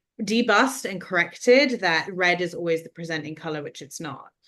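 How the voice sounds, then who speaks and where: Speaking at a moderate pace, a woman has a fairly low pitch and a bright, sharp tone. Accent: London. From London, England. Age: 30s. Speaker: skin condition advocate and film producer. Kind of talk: interview conversation.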